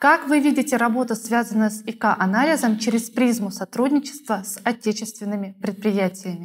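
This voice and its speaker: A woman speaks in a somewhat breathy voice. Her loudness swings widely. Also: fairly high pitch for a woman, ordinary pitch variation, moderate pace, hardly any pauses. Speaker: interviewer. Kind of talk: formal interview. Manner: formal. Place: studio.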